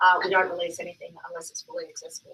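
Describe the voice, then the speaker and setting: Speaking with an Australian accent, a woman is heard. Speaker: accessibility consultant, company founder. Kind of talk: conference talk. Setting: stage with audience. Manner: loud; hesitant, many fillers.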